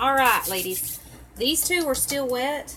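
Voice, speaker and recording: A woman speaks fairly slowly with a Southern US accent. Noticeable background noise runs underneath. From Tennessee, US South. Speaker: crafter. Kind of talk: tutorial. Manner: chatty, casual.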